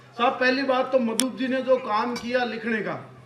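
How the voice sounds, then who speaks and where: Against noticeable background noise and audible room echo, a man speaks in an extremely high pitch. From Rajasthan (Marwar). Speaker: comedian poet. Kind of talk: stand-up. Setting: stage with audience. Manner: animated.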